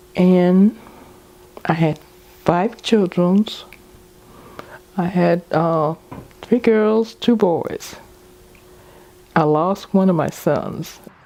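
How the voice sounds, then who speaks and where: Amid noticeable background noise, a woman speaks very slowly at a medium pitch with ordinary pitch variation and long, frequent pauses. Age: 80s+. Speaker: widowed senior. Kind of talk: interview testimony.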